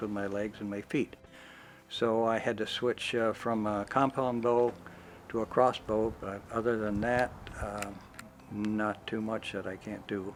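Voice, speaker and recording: Monotone, flat intonation at a fairly slow pace. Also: man. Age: 80s+. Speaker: documentary interviewee. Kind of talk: interview.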